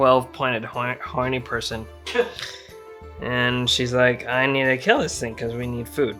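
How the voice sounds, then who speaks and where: Over music in the background, a man speaks at medium pitch and a fairly slow pace, with ordinary pitch variation and long, frequent pauses. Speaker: comedy game storyteller. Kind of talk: drunken comedic video game retelling. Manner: casual, rambling.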